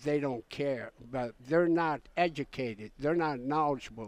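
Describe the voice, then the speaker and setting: A man with a fairly high pitch speaks very slowly, his pitch varying in an ordinary way. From Alaska, Pribilof Islands (Aleut). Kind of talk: radio interview.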